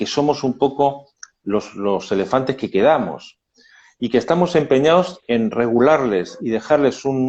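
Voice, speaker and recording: In a medium pitch, a man speaks with ordinary pitch variation. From Spain, Madrid. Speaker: labor lawyer. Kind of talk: casual chat. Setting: video call. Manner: halting.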